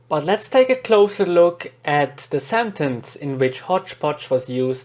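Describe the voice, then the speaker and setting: Speaking at a fairly slow pace, a man with a Swiss German accent uses lively intonation at a fairly high pitch. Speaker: podcast host, English learner. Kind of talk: scripted podcast narration.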